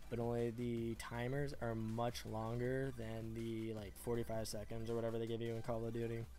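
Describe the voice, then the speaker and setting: A man speaks quietly at medium pitch and a moderate pace. His intonation is monotone and flat, with hardly any pauses. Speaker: gaming commentator. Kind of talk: game commentary voiceover. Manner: monotone, quiet.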